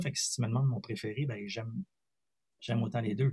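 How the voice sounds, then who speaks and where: Very fast and somewhat breathy, a man at medium pitch talks in a Quebec accent with ordinary pitch variation. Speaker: singer and multi-instrumentalist. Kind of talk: interview.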